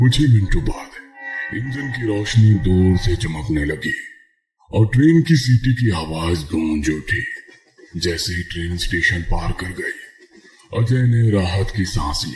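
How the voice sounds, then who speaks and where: A man puts on a character voice, talking fairly slowly at a fairly low pitch. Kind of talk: horror narration. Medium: read story. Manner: suspenseful, measured.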